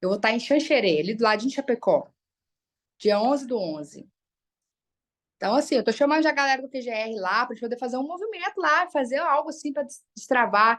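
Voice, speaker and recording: A woman's high, animated voice at a fairly quick pace, with very wide pitch swings and long, frequent pauses over a quiet background. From Brazil, Minas Gerais (Uberlândia). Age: 30s. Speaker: psychologist and motivational speaker. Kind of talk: motivational talk in a live online group session.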